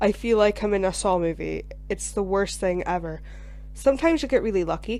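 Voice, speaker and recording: A woman talks at a fairly quick pace in a Scottish accent. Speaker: gaming YouTuber. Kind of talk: video game commentary. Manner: casual, chatty with fillers.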